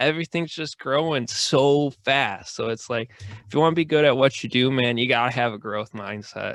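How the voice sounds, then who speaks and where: A man at medium pitch with ordinary pitch variation and a moderate pace, in a dry, close sound with no echo. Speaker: podcast host. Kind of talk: casual chat. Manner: loud; casual, filler-heavy speech.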